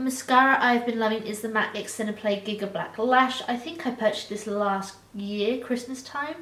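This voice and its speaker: A woman's fairly high voice at a moderate pace, fairly even in intonation and with hardly any pauses, with audible room echo and noticeable background noise. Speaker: beauty vlogger. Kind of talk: product review monologue.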